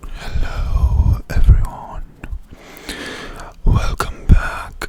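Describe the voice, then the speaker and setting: Whispering at a very slow pace in a calm tone, a man is heard over noticeable background noise. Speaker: ASMR creator. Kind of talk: ASMR talk to camera. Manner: soft-spoken, calm.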